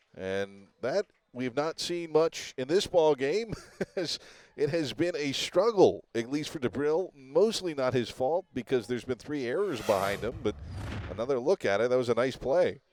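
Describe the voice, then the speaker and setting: In a plain, everyday voice, a man speaks at a fairly high pitch with lively intonation. The sound is dry and close, with no echo. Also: moderate pace. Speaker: sports play-by-play announcer. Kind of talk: live sports broadcast play-by-play. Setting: baseball broadcast.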